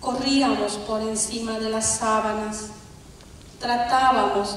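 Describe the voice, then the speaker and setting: A woman speaks very slowly at a fairly high pitch, in monotone, flat intonation. Strong room echo and light background noise surround her voice. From Bolivia. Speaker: poet. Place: stage.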